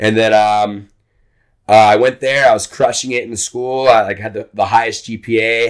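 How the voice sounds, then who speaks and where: With an American accent, a man speaks in a monotone, flat way at a moderate pace on a very clean recording with a silent background. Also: medium pitch for a man. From Texas, Corpus Christi. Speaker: military veteran. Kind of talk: casual chat.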